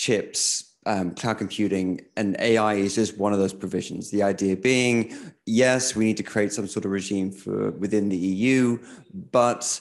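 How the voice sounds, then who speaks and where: An ordinary speaking voice with fairly even intonation at a fairly slow pace. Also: man, fairly low pitch for a man. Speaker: technology journalist. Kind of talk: panel talk.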